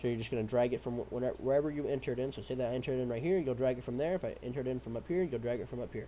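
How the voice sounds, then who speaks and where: The man's voice is dark and mellow, pitched in a medium range. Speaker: trading educator. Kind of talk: screen-share tutorial. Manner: fast; casual, profane.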